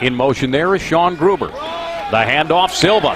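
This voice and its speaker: High-pitched man at a moderate pace, with noticeable background noise. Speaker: play-by-play commentator. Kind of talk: live commentary. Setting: outdoors.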